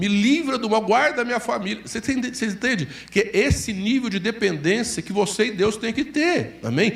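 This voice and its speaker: A man at a moderate pace, with audible room echo. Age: 60s. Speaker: pastor. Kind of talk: sermon.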